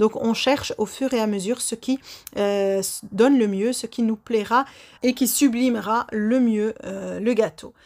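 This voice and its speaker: A woman talks at a fairly slow pace in a fairly high pitch, keeping her intonation fairly even. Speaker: baking youtuber. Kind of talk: baking tutorial voice-over; channel outro. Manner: frequent hesitations.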